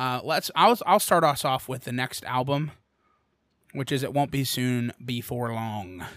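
A man with an American accent uses a normal speaking voice at a medium pitch and a fairly slow pace. His pitch varies in an ordinary way on a very clean recording with a silent background. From Bucks County, Pennsylvania. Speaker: podcast host and cover band singer. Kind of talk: casual chat.

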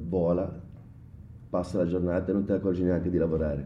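Audible room echo around a man with a very deep, low pitch. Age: 40s. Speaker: bartender. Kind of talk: casual interview.

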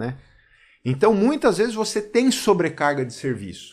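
Heard on a very clean recording with a silent background, a man speaks with very wide pitch swings. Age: 40s. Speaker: police chief. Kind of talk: casual chat. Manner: hesitant, with fillers.

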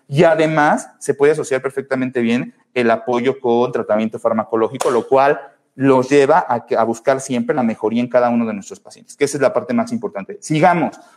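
Speaking with a Mexican accent, a man moves at a fairly quick pace with hardly any pauses. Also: medium pitch for a man, lively intonation. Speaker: pediatric neurologist hosting a podcast. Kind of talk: solo educational talk answering live comments. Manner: casual with fillers.

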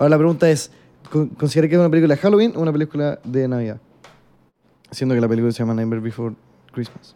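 Speaking at a very fast pace with long, frequent pauses, a man uses a Chilean accent. His pitch is fairly high and his tone dark and mellow. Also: ordinary pitch variation. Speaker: podcast co-host. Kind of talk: casual chat.

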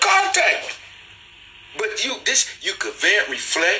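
A man talks at a fairly slow pace in an animated tone. Noticeable background noise sits behind him. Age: 40s. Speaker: livestream show host. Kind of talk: casual livestream monologue. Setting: live stream. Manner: animated, repetitive.

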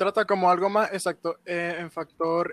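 On a dry, close recording with no echo, a man speaks at a fairly slow pace with a high pitch. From Venezuela. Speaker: guest. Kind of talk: casual chat.

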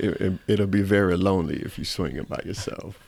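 The speaker has an American accent and a monotone, flat intonation. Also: man. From Ghana, then Southwest Atlanta, US. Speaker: hospital chaplain and musician. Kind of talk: casual interview conversation. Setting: chaplain's office.

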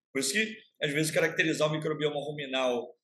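Here a man talks with ordinary pitch variation. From Rio de Janeiro state, Brazil (Baixada Fluminense). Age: 50s. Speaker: university professor of animal science. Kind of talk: casual interview. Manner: halting, with many repetitions.

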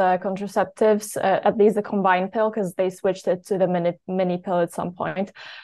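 The speaker has a Polish accent and talks at a moderate pace. The intonation is monotone and flat, with a quiet background. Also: woman. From Poland. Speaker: health story guest. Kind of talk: interview.

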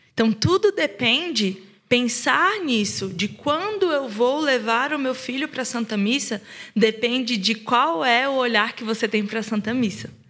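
Her voice is high and bright, with a sharp tone and lively intonation. The woman speaks at a fairly slow pace. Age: 20s. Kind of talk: casual chat.

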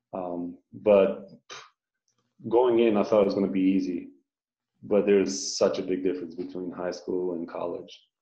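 A man with a Romanian accent speaks in a very deep, low voice with vocal fry and ordinary pitch variation. He pauses long and often, and room echo is audible. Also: moderate pace. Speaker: professional basketball player. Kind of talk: casual interview.

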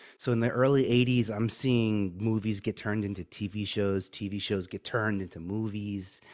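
On a very clean recording with a silent background, a man with an American accent and a fairly low pitch speaks at a moderate pace with fairly even intonation and hardly any pauses. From New York (Staten Island). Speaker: media producer and branding consultant. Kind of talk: interview.

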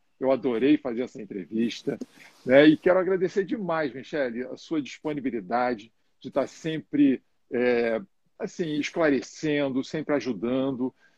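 A man talks at a moderate pace with lively intonation and big swings in loudness. The sound is dry and close with no echo. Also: medium pitch for a man. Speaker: live show host and coach. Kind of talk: live interview. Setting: Instagram live.

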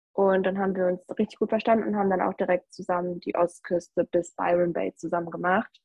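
A woman with an unremarkable speaking voice talks at a fairly quick pace. Her medium pitch holds fairly even intonation. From Germany, North Rhine-Westphalia. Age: 20s. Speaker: backpacker. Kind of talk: casual interview.

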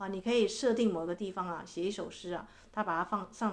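A woman speaks at a medium pitch with fairly even intonation. She goes at a very fast pace. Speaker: podcast host and relationship coach. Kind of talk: reading aloud own poetic book with commentary. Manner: gentle, measured.

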